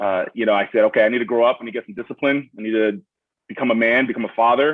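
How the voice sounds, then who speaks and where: Talking at a very fast pace, a man with a Brooklyn accent keeps his intonation fairly even. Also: medium pitch for a man. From Miami, Florida (born in Brooklyn). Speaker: student veteran. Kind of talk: panel Q&A introduction. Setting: video call.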